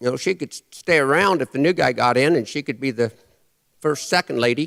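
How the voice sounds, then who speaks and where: A man with an American accent and an unremarkable speaking voice, fairly high in pitch with ordinary pitch variation, at a fairly quick pace, in a dry, close sound with no echo and a very clean recording against a silent background. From Nebraska. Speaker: cowboy poet. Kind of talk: live stage performance, humorous cowboy poetry and storytelling. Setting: live audience in a church. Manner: folksy, dry humor.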